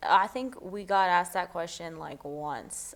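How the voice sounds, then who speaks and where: A woman speaks with a normal speaking voice at a moderate pace. Her pitch is fairly low, with ordinary pitch variation. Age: young. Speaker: former mayoral candidate. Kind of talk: interview answer.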